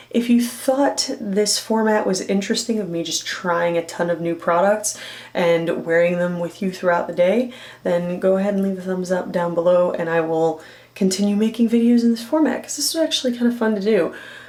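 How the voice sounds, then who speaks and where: Noticeable background noise fills the recording. The woman's pitch varies in an ordinary way. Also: medium pitch for a woman. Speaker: beauty YouTuber and burlesque performer. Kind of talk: casual vlog talk to camera. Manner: animated.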